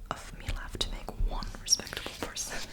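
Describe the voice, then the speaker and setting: Whispering in a soothing tone comes through noticeable background noise. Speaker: ASMR creator. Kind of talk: bedtime story reading. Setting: close microphone. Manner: soft-spoken, soothing.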